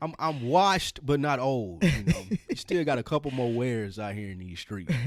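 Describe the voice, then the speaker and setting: With a Southern US accent, a man talks at a moderate pace and medium pitch, his voice making very wide pitch swings on a very clean recording with a silent background. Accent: Southern US (Georgia). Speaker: podcast co-host. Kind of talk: casual chat.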